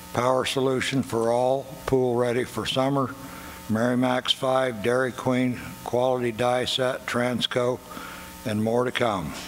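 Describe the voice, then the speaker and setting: Speech comes at a fairly slow pace in a monotone, flat way with very even loudness, over noticeable background noise. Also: man, medium pitch for a man. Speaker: city council candidate, Vietnam veteran. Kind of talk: opening statement at forum. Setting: candidate forum at performing arts center.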